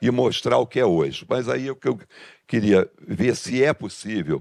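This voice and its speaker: Vocal fry marks a man's voice at a moderate pace, in a dry, close sound with no echo. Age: 70s. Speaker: engineering business association member. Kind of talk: audience question at a business meeting. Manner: halting, with false starts.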